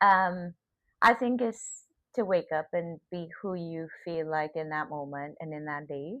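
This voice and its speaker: With a slight Trinidadian accent, a woman speaks fairly slowly at a fairly low pitch, with ordinary pitch variation and big swings in loudness. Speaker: podcast guest. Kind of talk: casual interview.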